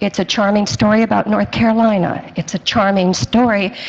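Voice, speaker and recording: Over noticeable background noise, a woman with an American accent talks fairly slowly with ordinary pitch variation. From South Florida. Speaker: senior center artist. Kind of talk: community presentation.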